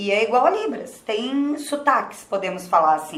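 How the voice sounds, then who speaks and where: A woman speaks with very wide swings in pitch. Audible echo from the room surrounds her voice. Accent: Rio de Janeiro. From Rio de Janeiro, Brazil. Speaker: sign language interpreter. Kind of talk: interview. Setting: studio.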